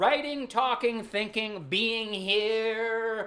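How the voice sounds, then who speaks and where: Through audible room echo, a man with a high pitch speaks in a raised, projected voice at a very slow pace. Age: 40s. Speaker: spiritual content creator. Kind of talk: casual monologue. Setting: late night at home. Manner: rambling riffing flow.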